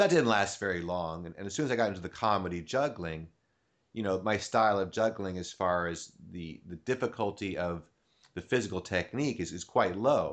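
A plain, everyday voice with big swings in loudness, ordinary pitch variation and a fairly quick pace over a quiet background. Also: man, fairly low pitch for a man. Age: 50s. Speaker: podcast host and comedy juggler. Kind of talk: casual interview chat. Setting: home recording studio.

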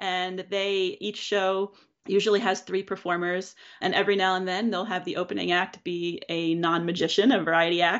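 A woman speaks at a moderate pace with an American accent. Her pitch sits in the medium range, and her intonation stays monotone and flat. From Pennsylvania, Philadelphia suburbs. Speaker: juggler and keynote speaker. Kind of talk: casual interview.

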